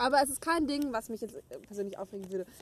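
A woman's pitch moves in an ordinary way as she talks at a moderate pace. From Germany, Gütersloh (Westphalia). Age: 20s. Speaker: podcast co-host. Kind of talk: casual chat. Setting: outdoors.

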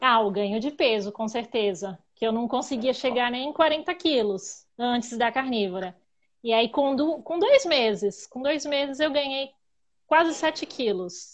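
Lively intonation from a woman with a high pitch, fairly slow pace, and a quiet background. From Greater São Paulo, Brazil. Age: 30s. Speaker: podcast guest, carnivore diet follower. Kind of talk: casual chat.

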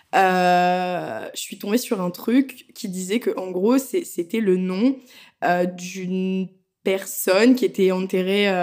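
In a very clean recording with a silent background, a woman of medium pitch speaks at a very slow pace with ordinary pitch variation. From France. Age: 20s. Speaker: tattoo artist. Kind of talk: casual chat.

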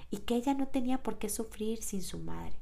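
Her voice has a dark, mellow tone with ordinary pitch variation. This woman speaks at a fairly slow pace. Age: 30s. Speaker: podcast host and personal coach. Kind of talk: reflective monologue.

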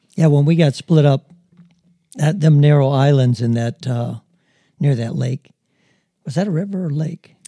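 Speaking at a moderate pace with long, frequent pauses, a man with a fairly high pitch, a dark, mellow tone and ordinary pitch variation is heard in a dry, close recording with no echo. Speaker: grandfather co-host. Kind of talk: casual chat. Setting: video podcast.

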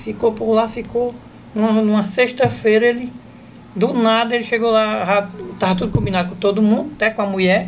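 Speaking at a moderate pace with a northeastern Brazilian accent, a man with a high pitch keeps a fairly even intonation. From Ceará, Brazil. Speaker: comedian. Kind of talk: casual chat.

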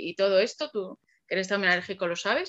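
Fairly quick and fairly high, a woman's voice comes across with a bright, sharp tone. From Alcalá de Henares, Madrid region, Spain. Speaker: copywriter. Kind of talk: casual interview. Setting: video podcast.

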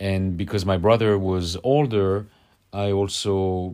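A man with a French accent, a fairly low pitch, and a dark, mellow tone at a very slow pace, in a very clean recording with a silent background. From Paris, France. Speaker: podcast guest.

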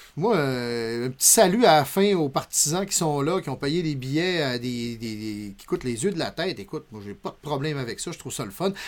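A man speaks in a normal speaking voice, fairly high in pitch, with lively intonation and big swings in loudness. His pace is moderate with hardly any pauses, on a very clean recording with a silent background. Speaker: podcast co-host. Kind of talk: casual chat.

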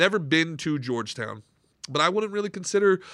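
The speaker has an American accent and an animated tone, with very wide pitch swings. The recording is very clean, with a silent background. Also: man. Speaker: podcast host, former stand-up comedian. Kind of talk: casual chat. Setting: studio.

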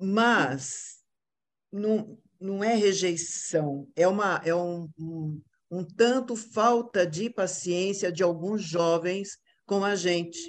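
A woman at a medium pitch, with ordinary pitch variation and a very slow pace. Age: old. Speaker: actress. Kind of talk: casual chat.

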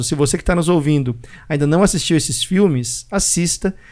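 He has a plain, everyday voice. The man moves at a fairly quick pace, with ordinary pitch variation. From Brazil. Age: 40s. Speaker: podcast host. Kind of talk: casual chat.

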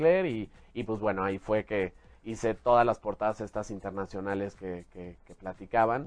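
With a Mexican accent, a man talks at a moderate pace. His voice is fairly low in pitch. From Mexico City, born in Jalisco. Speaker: fashion stylist. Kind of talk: casual interview.

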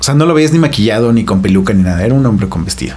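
Swinging very widely in pitch, a man speaks amid noticeable background noise and audible room echo. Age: 30s. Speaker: podcast guest. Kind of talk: casual interview.

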